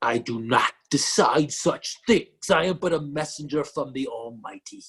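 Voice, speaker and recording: A man puts on a character voice, pitched fairly high and delivered at a moderate pace. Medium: read story. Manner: solemn, stern.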